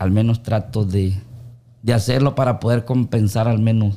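Dark and mellow in tone, a man's voice moves at a moderate pace with ordinary pitch variation. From Honduras, Olanchito. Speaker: baker and amateur singer. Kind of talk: casual interview chat.

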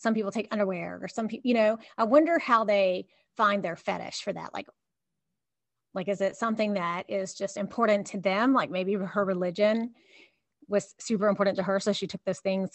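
In a Southern US accent, the speaker goes at a moderate pace with ordinary pitch variation. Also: woman, medium pitch for a woman. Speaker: podcast co-host. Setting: remote recording from office.

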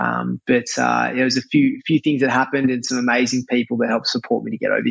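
The speech comes at a very fast pace in an Australian accent. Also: man. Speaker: chef and restaurateur. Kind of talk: casual interview. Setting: remote call.

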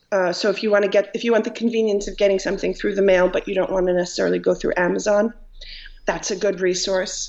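A woman with an American accent speaks at a very fast pace with medium pitch and monotone, flat intonation. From Long Island, New York. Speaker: writer and humorist. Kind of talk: casual interview. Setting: video call.

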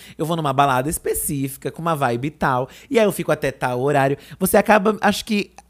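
In a very clean recording with a silent background, a man with a fairly high pitch talks very fast with lively intonation. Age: 30s. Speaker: podcast co-host. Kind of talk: casual chat.

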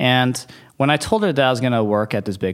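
A man with an unremarkable speaking voice and an American accent talks at a moderate pace, his pitch medium and its variation ordinary. The recording is very clean, with a silent background. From US Midwest, Detroit, Michigan. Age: 30s. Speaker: venture capitalist. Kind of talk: casual interview. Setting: office.

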